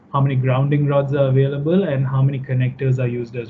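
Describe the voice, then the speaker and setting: The speaker is a man at a medium pitch. He talks at a fairly quick pace. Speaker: software product presenter. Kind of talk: webinar software demo. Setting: online webinar with screen share. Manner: fast.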